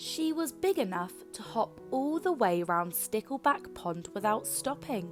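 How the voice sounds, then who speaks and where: A woman speaking at a fairly slow pace, with music in the background. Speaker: children's book reader. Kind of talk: read-aloud bedtime story.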